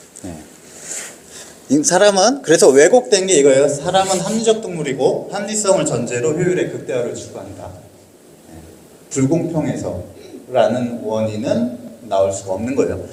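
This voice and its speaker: A high-pitched man at a moderate pace, with very wide pitch swings, big swings in loudness, long, frequent pauses, audible room echo, and noticeable background noise. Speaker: lecturer on social economy. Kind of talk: lecture.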